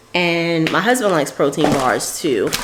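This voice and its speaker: Noticeable background noise sits behind this woman's voice. She speaks with a New York accent at a fairly low pitch. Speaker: beauty and lifestyle vlogger. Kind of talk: casual vlog talk to camera. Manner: casual, chatty.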